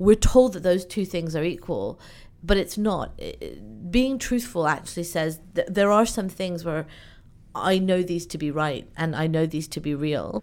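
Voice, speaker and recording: A woman talks at a medium pitch with lively intonation. The recording is very clean, with a silent background. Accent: British. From UK (born in Iran, moved at two). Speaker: event organizer. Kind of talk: interview conversation.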